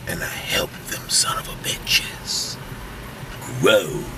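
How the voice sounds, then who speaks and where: A man speaks at a very slow pace, with a dry sound with no echo and noticeable background noise. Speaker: comedian. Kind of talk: casual interview talk. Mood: relaxed, playful. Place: car.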